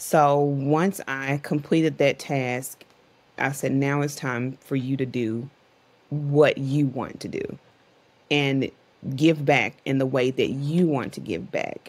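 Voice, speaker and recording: Speaking at a very slow pace, a woman uses a very deep, low pitch and fairly even intonation. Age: 40s. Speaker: entrepreneur and author; podcast guest. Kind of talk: interview conversation. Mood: reflective, determined. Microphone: video call.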